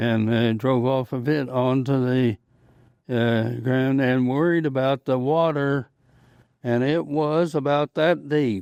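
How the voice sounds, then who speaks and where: With an American accent, a man speaks at a very slow pace and medium pitch, his intonation fairly even and his loudness very even. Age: 80s+. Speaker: World War II veteran, former Marine tank driver. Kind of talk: interview answer. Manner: brief, short answers.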